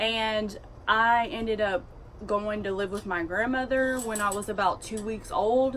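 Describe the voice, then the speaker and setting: A woman speaks with a strong Southern US accent. Her pitch is fairly high with ordinary variation, and her pace is fairly slow. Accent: strong Southern drawl. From US South. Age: 20s. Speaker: vlogger. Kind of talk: casual storytelling.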